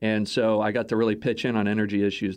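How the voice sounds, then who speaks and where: A plain, everyday voice moves at a fairly quick pace against a quiet background. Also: man. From Texas. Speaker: think tank executive. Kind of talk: interview. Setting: studio.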